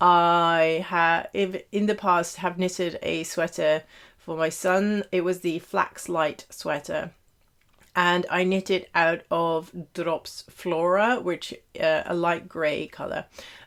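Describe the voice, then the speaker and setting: Captured in a very clean recording with a silent background, a woman speaks very slowly in a fairly low, monotone, flat voice. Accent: British. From Netherlands / Britain (half British, half Dutch). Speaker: knitting podcaster. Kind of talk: casual chat. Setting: home office. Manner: hesitant, many fillers.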